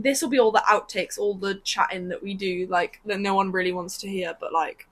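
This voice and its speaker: At a fairly quick pace, a woman with a British accent speaks at a medium pitch, with ordinary pitch variation and big swings in loudness. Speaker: podcast co-host. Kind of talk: casual chat. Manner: fast.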